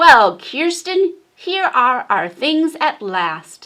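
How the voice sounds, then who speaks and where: A put-on character voice, high-pitched, raised and projected, moves at a very slow pace. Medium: read story.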